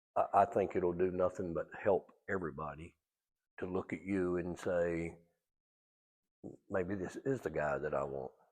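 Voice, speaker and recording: A man with a North Carolina accent, a very deep, low pitch and long, frequent pauses, against a quiet background. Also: ordinary pitch variation, moderate pace. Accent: North Carolina Southern. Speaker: interview host. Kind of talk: interview.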